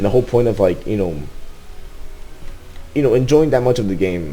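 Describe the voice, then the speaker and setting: Music plays behind a man talking at a medium pitch. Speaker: gaming YouTuber. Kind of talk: casual video commentary. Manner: halting, many repetitions; rushed.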